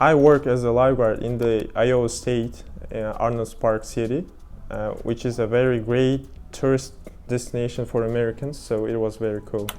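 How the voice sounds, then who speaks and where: With a medium pitch and monotone, flat intonation, a man speaks at a moderate pace over music in the background. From Uzbekistan. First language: Uzbek. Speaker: exchange student lifeguard. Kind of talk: interview. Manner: halting.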